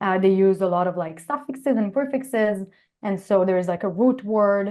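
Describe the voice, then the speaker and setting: Speaking at a fairly quick pace, a woman keeps her voice at a medium pitch. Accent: Israeli. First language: Hebrew. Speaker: computer science professor. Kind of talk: interview. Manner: hesitant, many fillers.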